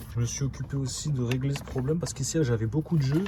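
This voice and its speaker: Against noticeable background noise, a man speaks at a fairly quick pace with a medium pitch. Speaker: car repair YouTuber. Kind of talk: casual vlog tutorial. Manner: casual slangy. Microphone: poor sound quality.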